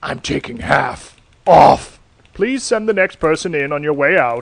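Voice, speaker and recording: A man does a put-on character voice, gravelly and fairly high-pitched. He moves at a moderate pace with very wide pitch swings. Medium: read story.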